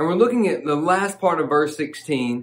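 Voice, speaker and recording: An American accent marks this man's voice. He speaks at a moderate pace with ordinary pitch variation. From US South. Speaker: pastor. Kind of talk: devotional sermon. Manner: fervent, passionate preaching; warm, conversational. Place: studio.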